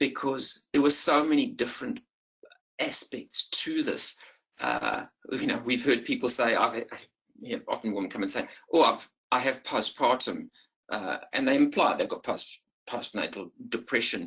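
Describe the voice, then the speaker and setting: This man talks at a moderate pace. His pauses come often and run long. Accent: South African. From South Africa. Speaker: perinatal psychiatrist. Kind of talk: lecture. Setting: webinar. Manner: halting, many fillers.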